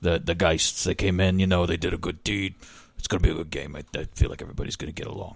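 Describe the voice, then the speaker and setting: A man speaks very fast in a put-on character voice. It is raspy and very deep, low in pitch. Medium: actual play. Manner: folksy, gossipy.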